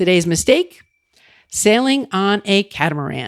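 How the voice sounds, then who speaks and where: A woman with an American accent, a fairly low pitch and very wide pitch swings, in a dry, close sound with no echo on a very clean recording with a silent background. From Long Island, New York. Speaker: travel podcaster. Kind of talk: podcast travel tips narration.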